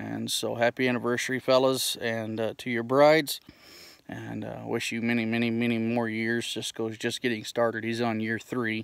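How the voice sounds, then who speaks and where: A man speaks at a moderate pace in a flat monotone, with a dry, echo-free sound and a quiet background. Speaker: pipe smoking vlogger. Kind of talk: casual vlog chat. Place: open country. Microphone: phone near.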